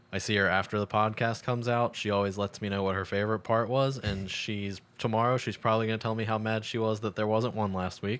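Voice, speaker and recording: A fairly low-pitched man with an American accent at a fairly quick pace, in a very clean recording with a silent background. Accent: Baltimore accent, slips out at times. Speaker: podcast host and comedian. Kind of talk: casual chat. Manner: animated.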